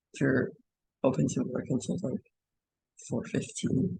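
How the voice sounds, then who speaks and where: A man speaks at a fairly high pitch with very wide pitch swings. His tone is dark and mellow, with vocal fry. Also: dry, close sound with no echo. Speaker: animation workshop instructor. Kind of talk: tutorial. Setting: classroom workshop with screen recording. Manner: slow; hesitant, many fillers.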